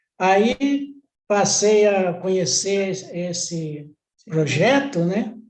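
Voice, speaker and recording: A high-pitched man's voice with audible room echo. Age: 80s+. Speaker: customer giving testimony. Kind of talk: testimony.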